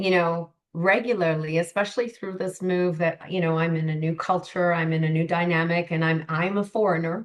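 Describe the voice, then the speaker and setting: A woman's fairly low, plain, everyday voice with a Canadian accent, fairly quick with hardly any pauses and fairly even intonation. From Canada. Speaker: life coach. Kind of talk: podcast interview.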